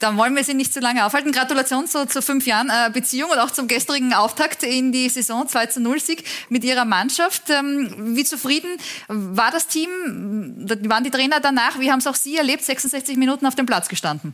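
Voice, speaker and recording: Speaking at a fairly quick pace, a woman with a high voice keeps her loudness very even and her pitch variation ordinary. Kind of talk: studio talk show. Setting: TV studio.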